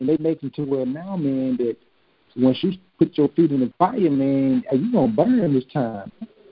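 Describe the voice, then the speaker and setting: A man speaks at a moderate pace in a normal speaking voice, his pitch fairly high for a man. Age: 40s. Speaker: podcast host. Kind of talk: casual chat.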